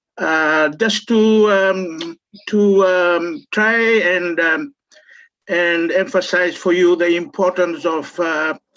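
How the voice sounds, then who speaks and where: The speech moves at a very slow pace with ordinary pitch variation. Its loudness stays very even. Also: man, high pitch for a man. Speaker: law lecturer. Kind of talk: information session talk. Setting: video call. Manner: halting.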